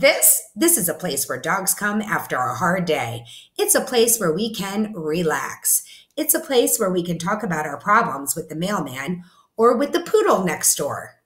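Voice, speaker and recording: Putting on a character voice, a woman speaks at a moderate pace and medium pitch, swinging it very widely up and down. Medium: read story. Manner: relaxed, self-assured.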